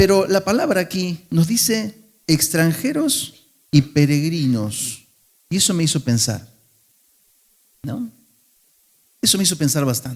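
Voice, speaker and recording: In an Argentine accent, a man talks at a fairly slow pace with a high pitch. His pitch swings very widely. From Argentina. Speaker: pastor. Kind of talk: sermon. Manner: conversational, with fillers and restarts.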